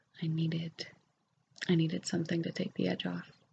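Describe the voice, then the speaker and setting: Soft-spoken and fairly low-pitched, a woman talks at a fairly quick pace with vocal fry. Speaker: ASMR creator. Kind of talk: ASMR ramble. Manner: hesitant with fillers.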